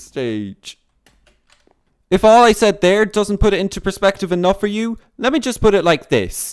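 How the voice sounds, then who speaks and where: A man speaks in a whiny voice with a whiny tone. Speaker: gaming YouTuber. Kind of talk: gameplay commentary. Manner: whiny-sounding; animated.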